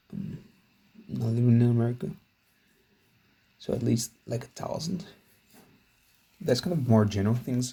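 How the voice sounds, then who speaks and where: Somewhat breathy and dark, mellow in tone, a man with a non-native accent speaks at medium pitch and moderate pace with long, frequent pauses. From outside English-speaking world, metric country. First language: not English. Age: 20s. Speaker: self-improvement vlogger. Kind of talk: casual vlog monologue. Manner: halting, many fillers.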